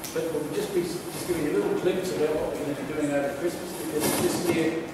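A man's voice carries audible room echo over loud background noise. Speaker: pastor. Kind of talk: church announcements then sermon. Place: church. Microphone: camera far.

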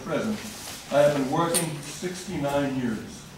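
There is strong room echo and noticeable background noise behind a man's voice. His pitch varies in an ordinary way. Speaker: resident at public comment. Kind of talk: public comment speech. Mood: critical, earnest. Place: hall.

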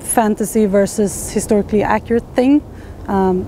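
Dry with no echo and with light background noise, a woman's voice moves at a moderate pace with ordinary pitch variation. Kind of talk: casual explanatory talk to camera. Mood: earnest, thoughtful. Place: forest.

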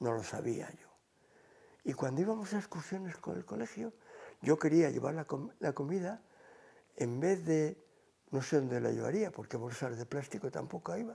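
A man talks at a moderate pace in a fairly high pitch, his tone dark, mellow and somewhat breathy. His pitch swings very widely, and he leaves long, frequent pauses. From Cantabria, Spain (Santander); Cantabria, Spain. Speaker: retired teacher. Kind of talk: oral history interview; interview answer. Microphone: lapel.

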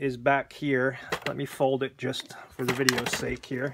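Male speech in an American accent, moderately paced, amid noticeable background noise. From Pennsylvania. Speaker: gun owner, military veteran. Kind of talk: casual video tutorial. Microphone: phone near.

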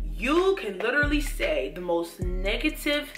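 A woman talks at a fairly slow pace. Music plays clearly in the background. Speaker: lifestyle YouTuber. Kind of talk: casual talk to camera. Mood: earnest, motivational. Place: home room.

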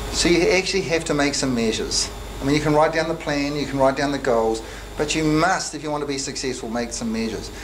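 A man with a New Zealand accent talks at a very fast pace in a fairly high pitch. His pitch varies in an ordinary way, over noticeable background noise. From New Zealand, Christchurch. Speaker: accountant and software entrepreneur; presenter. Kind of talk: motivational talk to students. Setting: classroom with live audience. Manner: halting. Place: meeting room. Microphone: camera far.

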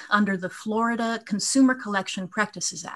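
The speaker is a woman with ordinary pitch variation. She talks at a moderate pace. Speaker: appellate lawyer. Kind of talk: oral legal argument. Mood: formal, measured. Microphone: video call.

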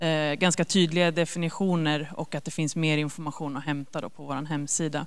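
A woman has a plain, everyday voice, pitched fairly low, with fairly even intonation. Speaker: government agency officer; presenter. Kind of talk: informational presentation. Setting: stage with audience. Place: hall. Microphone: handheld.

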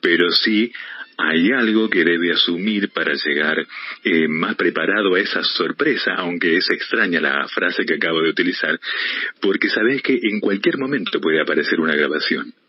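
At a moderate pace, the speech has lively intonation and very even loudness, with noticeable background noise. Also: man, very deep, low pitch for a man. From Argentina. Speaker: voice-over announcer. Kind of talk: interview answer.

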